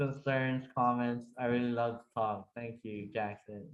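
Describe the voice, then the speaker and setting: A man speaks at a very slow pace. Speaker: meetup host. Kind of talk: casual chat. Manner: halting, many fillers.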